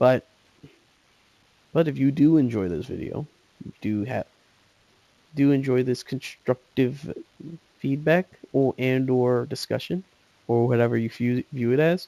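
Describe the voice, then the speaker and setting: A man mumbles at a fairly slow pace, with long, frequent pauses, a medium pitch and ordinary pitch variation. His tone is dark and mellow, and the sound is dry and close with no echo. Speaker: gaming youtuber. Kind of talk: casual chat. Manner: mumbling; halting.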